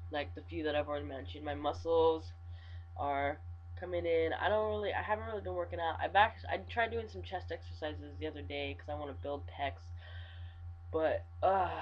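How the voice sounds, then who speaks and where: In an American accent, a man with a very deep, low pitch and a somewhat breathy voice speaks at a fairly quick pace with ordinary pitch variation. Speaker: vlogger. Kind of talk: video diary. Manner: halting; kept lower than usual.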